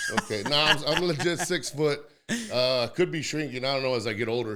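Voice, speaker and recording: Against noticeable background noise, a man with an American accent and a fairly high pitch talks at a fairly quick pace with ordinary pitch variation. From San Antonio, Texas (South Side). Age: 40s. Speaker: wrestler and schoolteacher. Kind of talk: casual chat. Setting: studio. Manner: loud; holding back volume.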